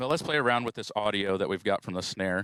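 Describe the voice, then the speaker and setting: Over a silent background in a very clean recording, a man speaks fairly low with ordinary pitch variation, the sound dry and close with no echo. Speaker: audio engineering trainer. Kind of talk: tutorial. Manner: casual with frequent fillers.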